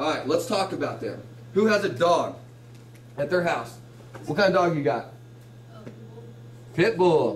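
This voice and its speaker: There is audible room echo around a man with a high pitch and lively intonation. He leaves long, frequent pauses. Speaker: teacher. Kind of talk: classroom lecture. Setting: classroom with students. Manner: fast.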